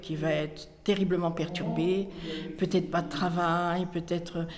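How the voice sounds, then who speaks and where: There is noticeable background noise and audible room echo. A woman speaks at a fairly low pitch. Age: old. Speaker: volunteer tutor. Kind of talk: interview testimony.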